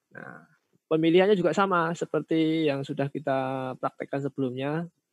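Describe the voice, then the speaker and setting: At a fairly quick pace, a man with a fairly high pitch and fairly even intonation speaks in a dry, close sound with no echo. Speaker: teacher training instructor. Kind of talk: online tutorial workshop.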